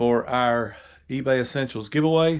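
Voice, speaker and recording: Speaking fairly slowly, a man has an American accent. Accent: strong country. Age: 40s. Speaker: YouTuber, online reseller. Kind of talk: casual chat to camera. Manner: casual, filler-heavy.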